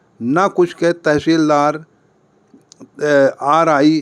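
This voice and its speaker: A man's voice at a fairly high pitch. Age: 60s. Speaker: retired teacher, litigant. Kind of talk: interview.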